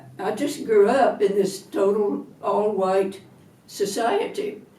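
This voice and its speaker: Heard with audible room echo, a woman speaks at a medium pitch with an American accent and ordinary pitch variation. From US South, Atlanta, Georgia. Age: 80s+. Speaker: retired minister. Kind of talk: interview testimony.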